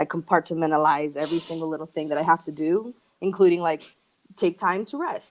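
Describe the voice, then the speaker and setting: A woman speaks with a slight Argentine accent at a fairly low pitch. Her intonation stays fairly even, and her pace is fairly quick. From Argentina, then various US cities. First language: Spanish. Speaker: musician and record label founder. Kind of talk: casual chat.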